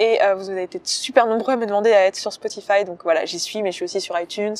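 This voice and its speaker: The recording is dry and close with no echo. A woman speaks at a very fast pace. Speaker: podcaster and personal development coach. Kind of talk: casual video talk, book summary. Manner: filler-heavy, hesitant 'euh'.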